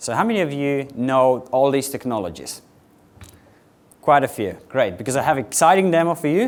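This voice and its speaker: A man speaks quite quickly at a medium pitch. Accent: Slovenian. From Slovenia. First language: Slovenian. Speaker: software architect, conference speaker. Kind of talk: conference tech talk. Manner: fast, rushed.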